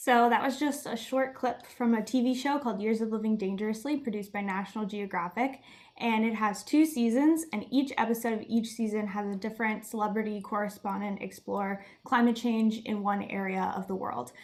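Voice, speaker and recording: An ordinary speaking voice from a woman with an American accent, fairly high in pitch, fairly quick and with hardly any pauses, in fairly even intonation. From Miami, Florida. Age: 20s. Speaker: student climate activist. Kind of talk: presentation.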